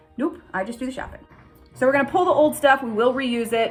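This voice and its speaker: Over music in the background, a woman speaks with ordinary pitch variation. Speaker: homesteader vlogger. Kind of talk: casual vlog walkthrough. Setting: outdoors and inside a cabin. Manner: fast.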